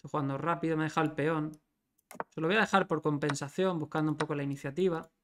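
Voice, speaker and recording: A man talks at a very fast pace in a fairly high pitch. Noticeable background noise sits behind him. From Spain. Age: 30s. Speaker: chess grandmaster streamer. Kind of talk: live chess commentary stream. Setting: livestream. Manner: animated. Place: home room.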